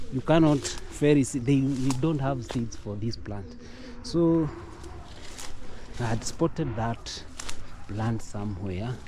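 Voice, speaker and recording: Audible room echo surrounds a man speaking very slowly at a medium pitch, with ordinary pitch variation and long, frequent pauses. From Kenya. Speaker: vlogger. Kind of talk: casual vlog tour. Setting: outdoors in village. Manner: halting, with fillers.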